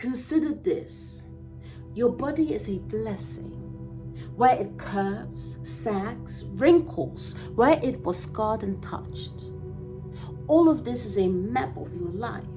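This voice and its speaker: A woman talks at a very slow pace as music plays behind her. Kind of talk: poetry reading.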